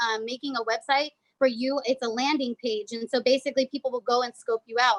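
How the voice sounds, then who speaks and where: A woman talks at a very fast pace in a high pitch. The sound is dry and close, with no echo. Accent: American. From California. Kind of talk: training presentation. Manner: animated.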